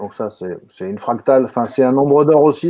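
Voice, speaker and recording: The background stays quiet while a man talks. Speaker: webinar moderator. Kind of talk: live online webinar. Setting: video call. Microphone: video call.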